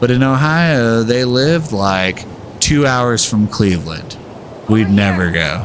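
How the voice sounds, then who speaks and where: A man in an American accent speaks at medium pitch and a very slow pace with lively intonation and very even loudness, with audible room echo and noticeable background noise. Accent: slight US Southern, some say San Diego. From Texas. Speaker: video game streamer. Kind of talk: casual chat while gaming. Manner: casual, rambling with fillers.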